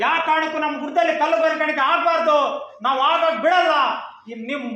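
An extremely high-pitched man's raised, projected voice in monotone, flat intonation, with audible room echo. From Karnataka, Chitradurga district (Molakalmuru area). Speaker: villager protester. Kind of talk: protest statement to press.

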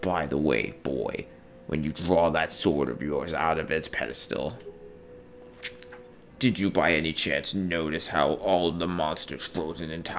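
In a put-on character voice, a man talks at a fairly slow pace with a very deep, low pitch and long, frequent pauses, while clear background noise runs behind him. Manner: menacing, arrogant.

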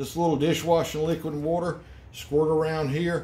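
At a moderate pace, a man is talking. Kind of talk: tutorial. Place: garage. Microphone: phone near.

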